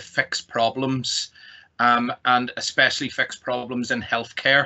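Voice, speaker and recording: In a Northern Irish accent, a man speaks at a moderate pace. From Northern Ireland. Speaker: technology company executive. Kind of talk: presentation.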